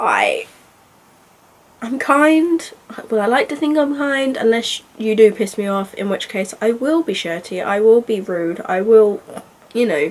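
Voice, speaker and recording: A woman with a British accent, very wide pitch swings, a fairly slow pace, and long, frequent pauses. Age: 30s. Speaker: book vlogger. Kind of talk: casual vlog monologue. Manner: soft-spoken; halting.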